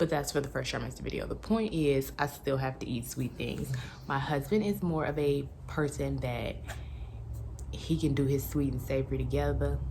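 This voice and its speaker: A quiet woman's voice at a moderate pace, with audible room echo. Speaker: lifestyle vlogger. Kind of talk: pregnancy update vlog. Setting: at home. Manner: quiet, talking low; casual, filler-heavy.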